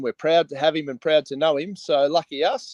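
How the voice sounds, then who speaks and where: A man talks at a fairly quick pace with a strong Australian accent and a fairly high pitch. The sound is dry and close with no echo, and his intonation is fairly even. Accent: broad Australian. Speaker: online talk show host. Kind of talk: casual interview chat. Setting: live stream.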